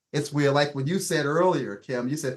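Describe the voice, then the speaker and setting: A man with a fairly high pitch and an animated tone. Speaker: podcast host. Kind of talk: casual chat. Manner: fast.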